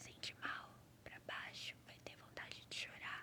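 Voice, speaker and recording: Someone whispers at a very slow pace, calm and gentle in tone. Noticeable background noise sits behind the voice. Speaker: ASMR creator. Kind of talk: ASMR reflective talk, calming monologue. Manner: soft, calm, gentle.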